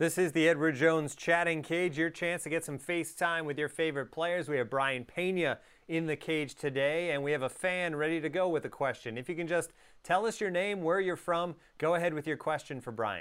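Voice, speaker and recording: A man with a plain, everyday voice speaks at a fairly quick pace, his pitch fairly high. The recording is very clean, with a silent background. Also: ordinary pitch variation. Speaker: podcast host. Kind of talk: casual interview.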